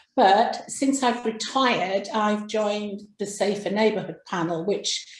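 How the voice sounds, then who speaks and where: A woman with an English accent, medium pitch, a somewhat breathy quality, fairly even intonation and a fairly slow pace, with audible room echo. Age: 60s. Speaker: crime writer. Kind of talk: interview. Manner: halting.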